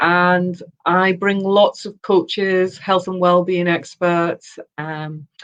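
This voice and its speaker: In a Yorkshire accent, a woman talks at a very slow pace and medium pitch with monotone, flat intonation and big swings in loudness. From Yorkshire, northern England. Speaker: personal development consultant, former radio producer. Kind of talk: interview. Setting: live video chat.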